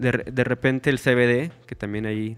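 A man with an unremarkable speaking voice, fairly slow pace and fairly even intonation. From Mexico, Lerdo, Durango (Comarca Lagunera). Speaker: content creator on natural living and gardening. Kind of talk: casual interview chat.

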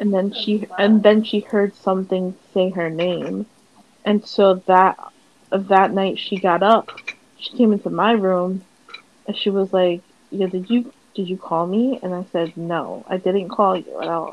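Noticeable background noise sits behind talking at a fairly slow pace. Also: woman, medium pitch for a woman, fairly even intonation. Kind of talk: casual chat. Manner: casual, chatty.

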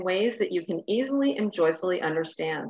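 A woman with an ordinary speaking voice talks at medium pitch with lively intonation. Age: 50s. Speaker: spiritual mentor and podcast host. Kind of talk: casual interview chat.

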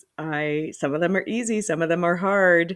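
The recording is very clean and the background silent. Her pitch varies in an ordinary way as this woman talks. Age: 40s. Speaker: solo podcaster. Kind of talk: personal reflective monologue. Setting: home loft. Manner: casual with frequent laughs and fillers.

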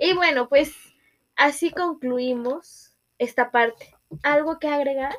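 At a very slow pace, a woman with a high voice speaks. She leaves long, frequent pauses. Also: ordinary pitch variation. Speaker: podcast co-host. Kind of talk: casual chat.

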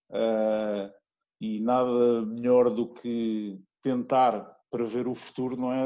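His voice sits at a medium pitch with a dark, mellow tone. The man keeps a fairly even intonation. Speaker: guest's son, former rugby coach. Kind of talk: interview.

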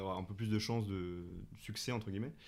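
Fairly even intonation with audible room echo. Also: man. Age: 20s. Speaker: comedian and actor. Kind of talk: casual interview.

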